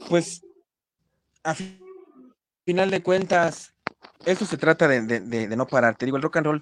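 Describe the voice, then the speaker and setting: Lively in intonation, a fairly high-pitched man speaks with long, frequent pauses. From Mexico, State of Mexico (Ecatepec). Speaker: rock musician. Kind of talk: casual interview. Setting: online live stream. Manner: halting, repeats words.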